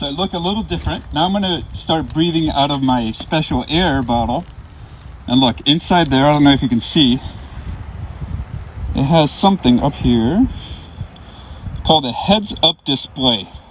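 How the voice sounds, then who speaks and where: A man's fairly high-pitched voice at a moderate pace, with lively intonation, long and frequent pauses, and noticeable background noise. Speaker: firefighter giving a station tour. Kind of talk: educational demonstration for children. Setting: fire station, live stream. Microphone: speaking through breathing mask with built-in microphone.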